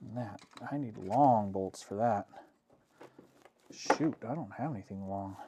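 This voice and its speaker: Long, frequent pauses break up a man's speech, which has a dark, mellow tone and ordinary pitch variation. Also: fairly slow pace. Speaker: DIY and camping YouTuber. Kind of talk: live stream build chat. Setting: basement livestream. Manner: casual, rambling with fillers.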